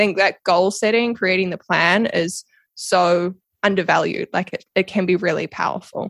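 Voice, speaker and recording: With a New Zealand accent, a woman speaks at a medium pitch and a moderate pace with fairly even intonation, in a dry, close sound with no echo. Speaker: podcast guest, social media strategist and coach. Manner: casual, conversational, laughs often.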